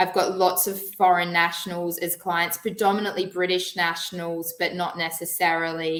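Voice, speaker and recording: A woman with an Australian accent speaks at a moderate pace in a fairly low pitch. Her intonation is monotone and flat. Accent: Australian, noticeable. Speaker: financial planner. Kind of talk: webinar presentation.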